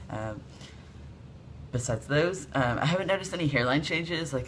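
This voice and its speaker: A man talks with lively intonation, vocal fry and a bright, sharp tone. Room echo is audible. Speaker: video blogger. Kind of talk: casual vlog update. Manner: casual, many fillers.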